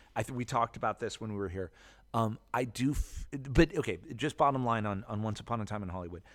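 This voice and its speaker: On a very clean recording with a silent background, a man with an ordinary speaking voice talks at a fairly quick pace. His pitch is fairly low, with ordinary pitch variation. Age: 40s. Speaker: film club founder. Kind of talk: casual chat. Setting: recording at his movie club venue.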